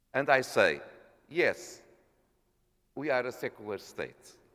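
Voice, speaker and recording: A man is speaking. His pace is fairly slow. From Portugal. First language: Portuguese. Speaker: parliamentarian. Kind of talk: formal speech. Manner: halting.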